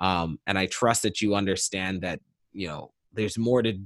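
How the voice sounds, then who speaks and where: Here is a man with an unremarkable speaking voice at a moderate pace. The recording is very clean, with a silent background and a dry, close sound without echo. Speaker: musician, producer and DJ. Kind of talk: casual interview chat.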